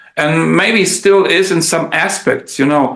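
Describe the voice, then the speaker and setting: A man with a German accent speaks very slowly, his pitch varying in an ordinary way. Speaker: translator and musician. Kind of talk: casual chat. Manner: halting.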